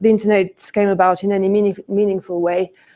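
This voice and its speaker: A woman's dark, mellow tone in a monotone, flat delivery, with a French accent. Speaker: conference speaker, e-commerce business leader. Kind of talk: conference presentation. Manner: hesitant, many fillers.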